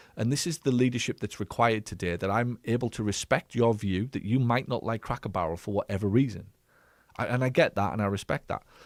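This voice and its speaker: A very fast pace with ordinary pitch variation, the sound dry and close with no echo. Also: man, medium pitch for a man. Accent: English. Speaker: business coach and former physio clinic owner. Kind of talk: live stream Q&A commentary. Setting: live stream. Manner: direct.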